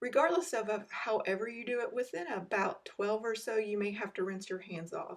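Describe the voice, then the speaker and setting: An unremarkable speaking voice from a woman, fairly high in pitch, at a moderate pace with ordinary pitch variation on a very clean recording with a silent background. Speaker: cooking video host. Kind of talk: tutorial.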